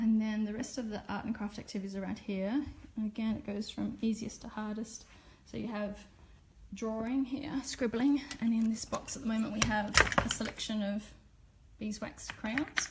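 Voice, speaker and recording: A woman in an Australian accent, fairly high-pitched, at a moderate pace with fairly even intonation over noticeable background noise. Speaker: Montessori teacher. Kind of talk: live-stream classroom tour. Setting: classroom, Facebook live video. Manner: casual, with filler words.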